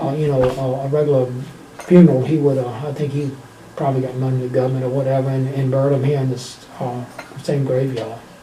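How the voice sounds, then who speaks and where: With a strong Virginia accent, a man delivers very fast, flat, monotone speech at a medium pitch, with audible room echo and noticeable background noise. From Virginia, US. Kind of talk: casual interview.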